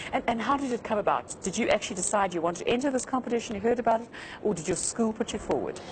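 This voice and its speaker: Very fast speech with ordinary pitch variation and noticeable background noise. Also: woman. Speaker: TV news presenter. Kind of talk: TV interview; news reading.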